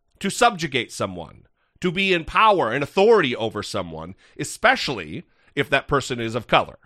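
A man's bright, sharp tone with vocal fry, very wide pitch swings and a fairly quick pace over a quiet background. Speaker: podcast host. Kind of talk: casual political commentary. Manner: animated, halting with repetitions.

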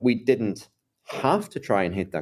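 A man speaks in an Irish accent. His pace is moderate. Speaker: AI tech executive. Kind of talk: interview.

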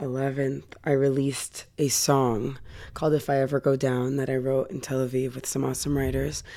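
A woman speaks at a moderate pace with a Californian accent. Her pitch is very deep and low. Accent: general American, Californian. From US West Coast, Los Angeles. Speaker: singer. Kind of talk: interview. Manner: animated.

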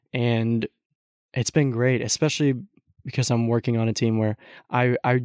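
A man speaks with an American accent at medium pitch, with a dark, mellow tone, fairly even intonation and a moderate pace. The sound is dry and close with no echo, over a quiet background. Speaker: host's son, college student. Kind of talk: casual chat. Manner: laughs often.

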